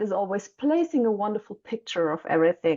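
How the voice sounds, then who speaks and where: Speaking with a German accent, a woman has a fairly high pitch and a dark, mellow tone. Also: quiet background. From Germany. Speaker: mentor for young mothers and author. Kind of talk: podcast interview.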